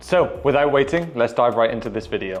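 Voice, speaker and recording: Music plays behind a man with a British accent. His tone is energetic, his intonation lively and his pace fairly quick. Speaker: personal trainer. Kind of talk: fitness tutorial. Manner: energetic, informal.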